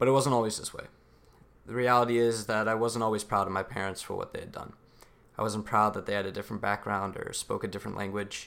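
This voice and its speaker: At a very fast pace, a man delivers his words in a fairly low, flat monotone. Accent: American. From US, son of Pakistani immigrants. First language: Urdu. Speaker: student speaker. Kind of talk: prepared speech. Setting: stage with audience.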